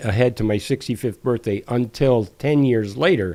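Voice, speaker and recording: Speaking fairly slowly, a man uses a medium pitch, ordinary pitch variation and a dark, mellow tone. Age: 70s. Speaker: retired professional, long-distance hiker, author. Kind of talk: casual interview conversation. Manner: halting, with self-corrections.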